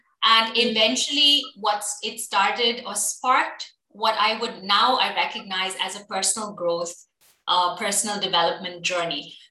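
Lively intonation marks this woman's fairly high voice as she speaks at a moderate pace with audible room echo. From UAE (Abu Dhabi), Indian-born. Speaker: HR consultant and entrepreneur. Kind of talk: casual interview.

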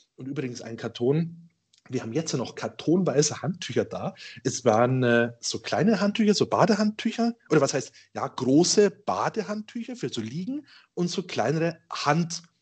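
Over a quiet background, a man with a slight Bavarian accent speaks at a moderate pace, his fairly high voice making very wide pitch swings. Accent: slight Ingolstadt Bavarian dialect. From Ingolstadt, Bavaria. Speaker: IT company owner. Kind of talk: casual storytelling.

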